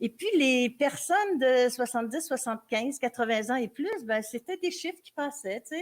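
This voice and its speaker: A woman's high-pitched voice with lively intonation, a moderate pace and hardly any pauses. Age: 70s. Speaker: author. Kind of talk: interview. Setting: public live broadcast from a café. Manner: halting, many hesitations.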